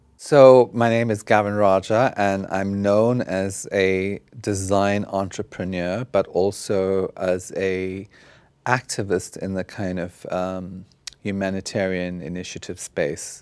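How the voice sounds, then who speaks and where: A man's fairly low voice at a very slow pace, with fairly even intonation. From South Africa. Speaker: fashion designer and activist. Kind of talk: interview. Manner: halting, many fillers.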